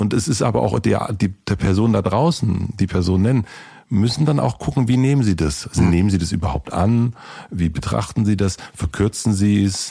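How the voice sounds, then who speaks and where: Somewhat breathy and dark and mellow in tone, a man's voice moves at a moderate pace with lively intonation and very even loudness. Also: fairly low pitch for a man. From East Berlin, former GDR. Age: 40s. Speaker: podcast host. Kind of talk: casual chat.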